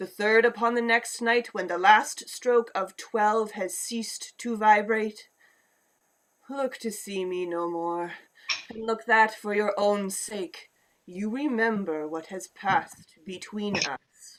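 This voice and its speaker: A female-sounding voice puts on a character voice at a fairly high pitch. The pace is fairly slow. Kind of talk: radio play performance. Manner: grave, impassioned.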